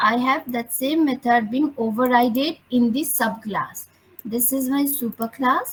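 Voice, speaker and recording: The pace is very slow, and the pitch varies an ordinary amount. Noticeable background noise can be heard. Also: woman. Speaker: programming teacher. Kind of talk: online lecture.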